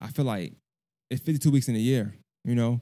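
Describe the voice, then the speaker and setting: A man's medium-pitched voice with fairly even intonation, on a very clean recording with a silent background. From Brooklyn, New York and Augusta, Georgia. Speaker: podcast host. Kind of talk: casual interview. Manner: relaxed, conversational.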